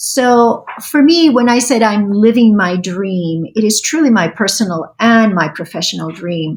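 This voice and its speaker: The voice is somewhat breathy, with lively intonation at a fairly slow pace. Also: woman. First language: Spanish. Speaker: state language program director. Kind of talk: interview.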